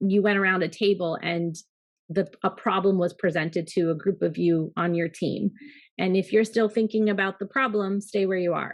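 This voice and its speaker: A woman speaks at a moderate pace in a plain, everyday voice. Her intonation stays fairly even. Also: medium pitch for a woman. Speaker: pharmacy business executive. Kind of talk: interview.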